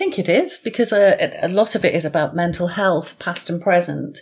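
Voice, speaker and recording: Fairly low in pitch, an ordinary speaking voice from a woman, moving at a moderate speed. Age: 50s. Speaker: author and mental health nurse. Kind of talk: podcast interview.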